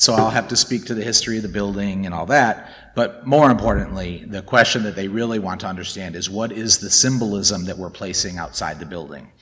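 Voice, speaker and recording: A man with a plain, everyday voice talks at a fairly quick pace with hardly any pauses, his fairly low pitch moving in an ordinary way while his loudness swings widely. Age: 40s. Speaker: dharma talk speaker. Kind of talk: dharma talk.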